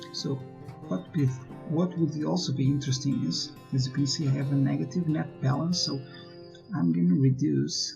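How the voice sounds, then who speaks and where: Music plays behind a man speaking at a moderate pace. His medium-pitched voice makes very wide pitch swings. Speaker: gaming YouTuber. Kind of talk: gameplay commentary.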